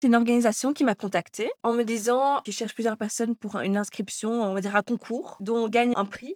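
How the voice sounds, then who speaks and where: A woman talks in a normal speaking voice at a fairly quick pace with hardly any pauses and fairly even intonation, the sound dry and close with no echo. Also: fairly high pitch for a woman, very clean recording, silent background. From Belgium, Brussels area. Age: 20s. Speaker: fashion designer and stylist. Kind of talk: interview.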